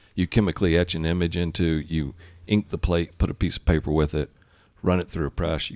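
A man with an American accent, very deep and low in pitch, with vocal fry, fairly even intonation and a fairly quick pace, on a very clean recording with a silent background. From US South, Georgia. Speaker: distiller and distillery founder. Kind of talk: casual chat. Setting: bar.

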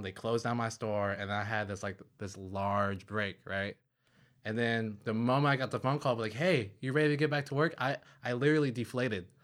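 A man with an unremarkable speaking voice, medium pitch and a fairly quick pace, on a very clean recording with a silent background. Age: 20s. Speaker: podcast guest, friend of host. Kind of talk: casual chat. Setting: in person, sitting together.

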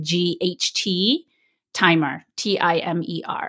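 Recorded very cleanly over a silent background, a woman speaks in a bright, sharp tone. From India, then UK from age eleven. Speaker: mindset coach. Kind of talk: interview; guided meditation.

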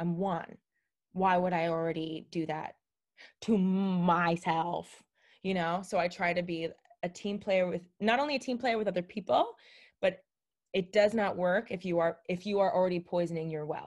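On a very clean recording with a silent background, a woman with an American accent and a plain, everyday voice speaks at a fairly low pitch with fairly even intonation. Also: moderate pace. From Miami, Florida. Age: 30s. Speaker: social media creator. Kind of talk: casual interview chat.

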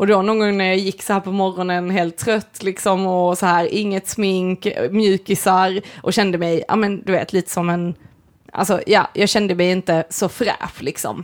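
A woman speaks at a moderate pace in a medium pitch, her intonation monotone and flat. The recording is very clean, with a silent background. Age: 30s. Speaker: podcast co-host and artist. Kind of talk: casual chat.

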